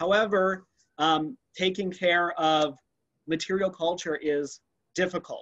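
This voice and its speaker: Over a quiet background, a man with a high pitch speaks at a fairly slow pace. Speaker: anthropology museum curator. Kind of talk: virtual museum tour presentation. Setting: video call. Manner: enthusiastic. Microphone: webcam.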